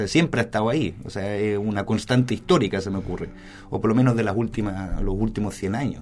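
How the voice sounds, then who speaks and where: A man speaks at a very fast pace. His pitch is fairly low, with ordinary variation. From Germany and Spain. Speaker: media specialist. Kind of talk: casual interview.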